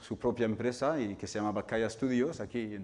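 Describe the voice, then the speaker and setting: A man with a fairly low pitch and fairly even intonation. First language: not Spanish (speaking Spanish). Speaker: video game developer and lecturer. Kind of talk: public talk. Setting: hall with live audience. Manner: hesitant, with fillers.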